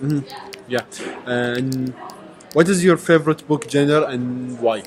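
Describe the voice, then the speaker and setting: With music in the background, a man with an Arabic accent speaks at a fairly slow pace and medium pitch, with ordinary pitch variation. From Kuwait. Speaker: university language student. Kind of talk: casual interview practice. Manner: halting.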